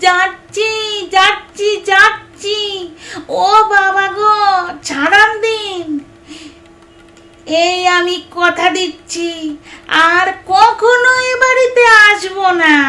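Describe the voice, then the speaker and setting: In a put-on character voice, a woman speaks nasal and whiny at an extremely high pitch and a very slow pace. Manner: whining, pleading.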